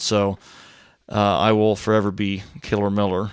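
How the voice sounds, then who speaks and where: The speaker talks at a fairly slow pace with an American accent. The recording is very clean, with a silent background. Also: man. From Florida. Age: 30s. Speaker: window and door installer. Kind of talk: casual chat.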